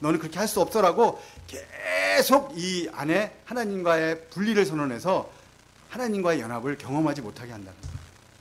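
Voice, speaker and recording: Over noticeable background noise, a man with a high pitch and an animated tone talks at a fairly quick pace, with very wide pitch swings and big swings in loudness. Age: 50s. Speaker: missionary. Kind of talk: testimony.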